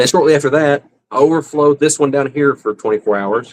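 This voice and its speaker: A man's fairly high voice with a Southern US accent, fairly quick pace, ordinary pitch variation, and a dry, close sound with no echo. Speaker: fish-keeping livestreamer. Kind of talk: casual livestream chat. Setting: live stream at home.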